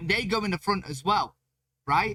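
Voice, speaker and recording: Loud and fairly quick, a man speaks with a bright, sharp tone and lively intonation. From Britain. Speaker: reaction video creator. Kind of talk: casual chat.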